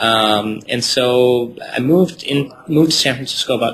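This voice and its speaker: A man's voice against noticeable background noise. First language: not English. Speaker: startup founder. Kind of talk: interview.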